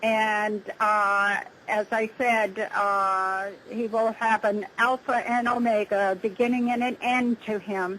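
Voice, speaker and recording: A woman's fairly high pitch in monotone, flat intonation at a very slow pace. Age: 70s. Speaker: UFO contactee. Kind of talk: interview. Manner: halting.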